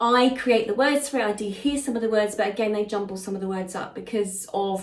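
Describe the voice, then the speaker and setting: Over noticeable background noise and audible room echo, a woman with a fairly high voice talks at a fairly quick pace with fairly even intonation. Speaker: psychic medium. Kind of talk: channeled spiritual message. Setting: live session with listeners present. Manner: fast; halting, with many fillers.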